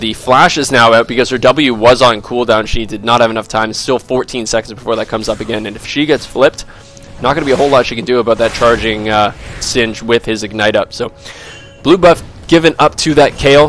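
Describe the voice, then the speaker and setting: Over music in the background, a man speaks very fast at a medium pitch with ordinary pitch variation. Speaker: gaming commentator. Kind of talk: esports game commentary. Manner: casual, talkative.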